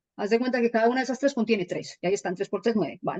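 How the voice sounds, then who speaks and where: The sound is dry and close, with no echo. A woman speaks at a fairly high pitch with ordinary pitch variation. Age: 30s. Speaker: holistic healing teacher. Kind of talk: explanatory talk on radio show. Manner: animated.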